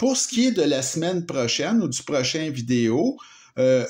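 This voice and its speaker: Here a man speaks in a Quebec accent at a fairly slow pace. His pitch is fairly high and his intonation lively. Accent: Québécois French. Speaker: knife reviewer. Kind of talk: product review. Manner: hesitant, many fillers; casual. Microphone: improved sound with new filming setup.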